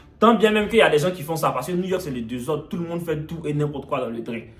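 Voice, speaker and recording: Over music and audible room echo, a man with an Ivorian accent talks at a very fast pace. His tone is animated and his intonation lively. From Ivory Coast. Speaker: vlogger. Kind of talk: storytelling.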